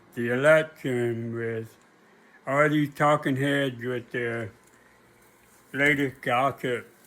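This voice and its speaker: A man's medium-pitched voice at a very slow pace. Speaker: history commentator, video blogger. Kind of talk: personal monologue to camera. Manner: halting, with repetitions.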